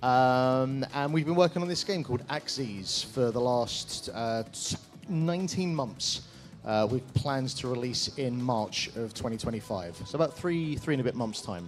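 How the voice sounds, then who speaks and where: A man's lively intonation with music in the background. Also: medium pitch for a man, moderate pace. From Ireland. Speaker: indie game developer. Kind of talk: game demo presentation.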